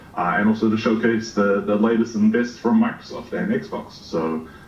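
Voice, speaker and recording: With music in the background and audible room echo, a man speaks at a moderate pace in a fairly low pitch with ordinary pitch variation. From Australia. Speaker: game streamer. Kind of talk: podcast interview. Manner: hesitant, many fillers.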